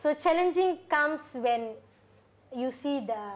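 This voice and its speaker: A woman's voice with a Tamil accent. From Sabah, Malaysia, Indian community. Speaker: religious sister. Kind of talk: casual interview. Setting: studio.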